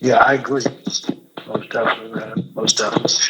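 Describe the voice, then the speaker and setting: Noticeable background noise sits behind the man's speech. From US Midwest, Gary, Indiana. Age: 50s. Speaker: incarcerated activist and author. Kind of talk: interview.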